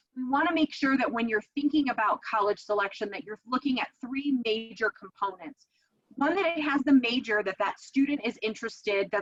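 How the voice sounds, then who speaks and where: This woman talks at a fairly quick pace with ordinary pitch variation. The sound is dry and close, with no echo. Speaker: dean of education presenting a coaching program. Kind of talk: webinar presentation. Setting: online webinar with screen share. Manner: fast.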